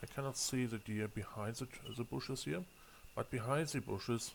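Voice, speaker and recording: A man with a German accent speaks at a moderate pace, his medium pitch showing ordinary variation. Vocal fry runs through his voice. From Germany. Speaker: gaming video creator. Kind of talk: gameplay commentary. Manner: halting, frequent fillers and repeats.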